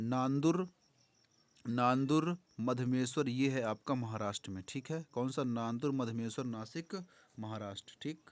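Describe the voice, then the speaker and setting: A man at medium pitch with ordinary pitch variation. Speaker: exam prep teacher. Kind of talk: revision lecture. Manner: loud.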